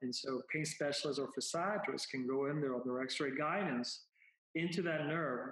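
A man with a Spanish accent talks at a moderate pace in a fairly high pitch. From Puerto Rico. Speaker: spine neurosurgeon. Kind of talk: interview. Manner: halting, many repetitions.

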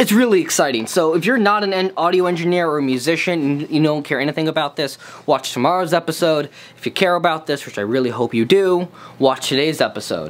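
A man talks fast at a fairly high pitch with ordinary pitch variation.

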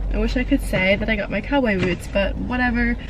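A woman's voice with noticeable background noise. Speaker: vlogger. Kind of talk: casual vlog chat. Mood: mildly disappointed, chatty. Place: car. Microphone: camera far.

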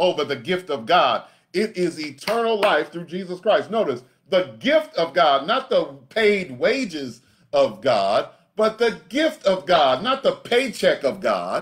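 A man talks with very wide swings in pitch. The background is quiet. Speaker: pastor. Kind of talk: sermon. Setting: live-streamed video from home. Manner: animated call-and-response preaching, urging the congregation to say amen. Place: home room.

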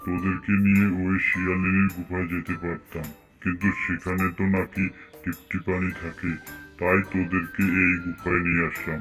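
A cartoonish character voice from a man, very deep and low, monotone and flat, at a moderate pace with clear music in the background.

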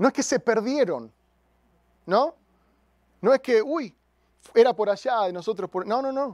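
This man's pitch is extremely high and his intonation lively, with an animated tone at a fairly slow pace. The sound is dry with no echo, over a quiet background. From raised in a missionary family. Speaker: pastor. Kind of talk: sermon. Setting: church with congregation. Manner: halting, repeats words. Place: church. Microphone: handheld.

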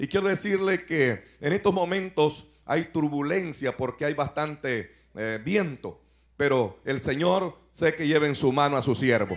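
The delivery comes at a fairly slow pace. Its intonation is lively. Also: man. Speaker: pastor preaching. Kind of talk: sermon. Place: hall. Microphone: handheld.

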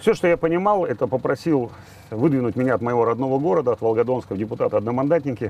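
Dry and without echo, a man's voice moves at a very fast pace with lively intonation. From southern Russia, Volgodonsk (Rostov region); Rostov region, Russia. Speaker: politician and video blogger; political blogger. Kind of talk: personal monologue to camera. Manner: conversational, with fillers. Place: boat.

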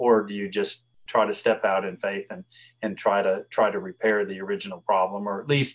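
Here a man talks with a Southern US accent. He moves at a fairly quick pace. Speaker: veterinarian. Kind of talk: interview. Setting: video call.

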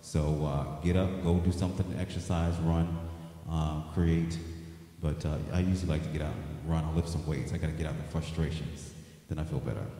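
A man's very deep, low voice at a fairly quick pace, flat and monotone, with audible room echo. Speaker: singer hosting his own show. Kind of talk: casual livestream news update chat. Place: home room. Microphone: handheld.

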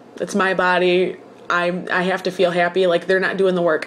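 With light background noise behind her, a woman talks at a very fast pace. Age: 20s. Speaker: vlogger. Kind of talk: personal video diary. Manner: casual, hesitant with fillers. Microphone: webcam.

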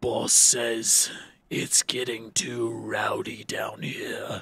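Putting on a character voice, a man speaks quietly and raspily at a very slow pace. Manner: quiet, menacing.

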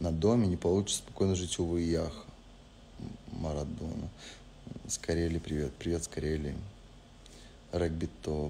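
Against light background noise, a man with a very deep, low pitch and a dark, mellow, somewhat breathy tone speaks at a moderate pace in fairly even intonation, with long, frequent pauses. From Spain. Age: 20s. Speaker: reality show participant. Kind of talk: live stream chat answering viewer questions. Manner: casual, relaxed. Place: home room. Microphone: lapel.

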